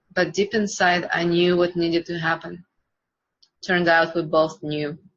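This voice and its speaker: A woman's fairly low voice at a moderate pace, broken by long, frequent pauses. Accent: Russian. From Russia, Siberia. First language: Russian. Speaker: coaching student. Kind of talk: personal story reading.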